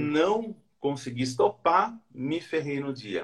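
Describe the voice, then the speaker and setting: Using an ordinary speaking voice, a man with a fairly high pitch speaks with lively intonation. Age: 40s. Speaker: former engineer learning day trading. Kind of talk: casual interview.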